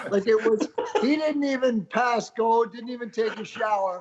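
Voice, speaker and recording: Through noticeable background noise, a man speaks at an extremely high pitch. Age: 60s. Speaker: former beach volleyball player and tour promoter. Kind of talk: casual chat. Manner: animated.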